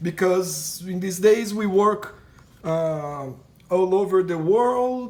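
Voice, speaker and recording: A man with a high pitch speaks at a very slow pace. Noticeable background noise runs under his voice. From Brazil. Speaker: painting teacher. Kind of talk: tutorial. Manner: halting, many repetitions and fillers.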